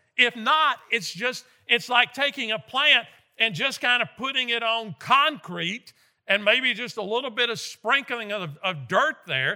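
A bright, sharp tone carries in a raised, projected voice, moving at a fairly slow pace with ordinary pitch variation. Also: man, extremely high pitch for a man. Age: 60s. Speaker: guest preacher. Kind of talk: sermon. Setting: church.

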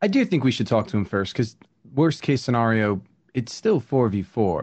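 A man talks at a moderate pace and medium pitch in an unremarkable speaking voice. His intonation is lively.

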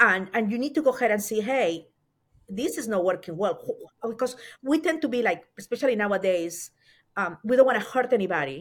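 With a Spanish accent and lively intonation, a woman speaks at a fairly high pitch over a very clean recording with a silent background. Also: fairly quick pace. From Peru. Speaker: author and consultant. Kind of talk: interview.

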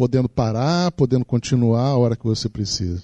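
A man's dark, mellow tone at a moderate pace, dry and close with no echo. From Rio de Janeiro, Brazil. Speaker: professor. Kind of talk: lecture. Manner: halting.

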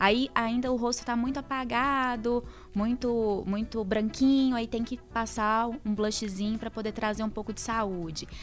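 Over music in the background, a woman talks at a fairly slow pace with hardly any pauses. Her fairly high voice stays monotone and flat. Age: 20s. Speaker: journalist. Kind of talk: casual chat. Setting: studio.

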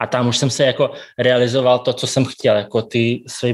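A man talking at a fairly quick pace against a quiet background. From Kazakhstan and Siberia, Russia. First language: Russian (speaking Czech). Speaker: café and bakery owner. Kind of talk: interview.

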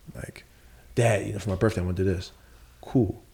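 Very deep and low, a man's voice has a dark, mellow tone and vocal fry, with ordinary pitch variation at a very fast pace. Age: 30s. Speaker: entrepreneur. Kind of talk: casual chat.

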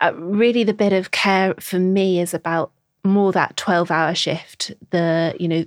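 The speaker has a Scouse accent. Delivery is at a fairly slow pace with fairly even intonation. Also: woman, very clean recording, silent background. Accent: Scouse-tinged northern English. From Merseyside (Birkenhead, the Wirral), England. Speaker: nurse educator. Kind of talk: interview. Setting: studio.

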